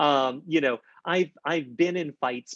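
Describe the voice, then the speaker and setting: A man speaks in a fairly high pitch with ordinary pitch variation, his voice sounding dry and close with no echo. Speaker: horror novelist. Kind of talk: author event talk. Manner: fast.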